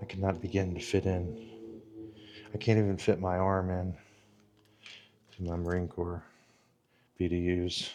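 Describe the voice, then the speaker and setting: A soft-spoken man with a very deep, low pitch, monotone and flat, at a moderate pace with long, frequent pauses. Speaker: vlogger and military veteran. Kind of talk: casual vlog narration. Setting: museum inside a library.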